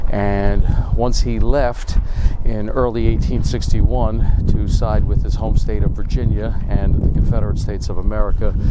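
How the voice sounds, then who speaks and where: A man speaks quietly, with audible room echo and noticeable background noise. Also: moderate pace. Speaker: history video host. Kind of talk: on-location history vlog. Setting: outdoors at a cemetery. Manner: quiet, subdued.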